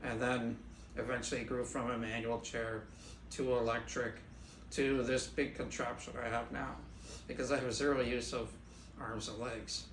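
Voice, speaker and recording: A man's monotone, flat delivery at medium pitch and a moderate pace, with long, frequent pauses and audible room echo. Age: 60s. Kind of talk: interview.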